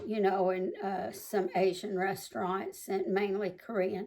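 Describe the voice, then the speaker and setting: A medium-pitched woman with an American accent at a fairly slow pace. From US South (Mississippi and Tennessee). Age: 60s. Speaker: home cooking video host, Army veteran. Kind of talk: casual cooking tutorial. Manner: chatty, halting with fillers.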